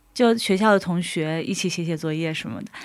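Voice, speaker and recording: This is an ordinary speaking voice from a woman at medium pitch. She talks at a moderate pace with ordinary pitch variation. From Dalian, northeast China. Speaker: florist sharing faith story. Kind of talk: testimony.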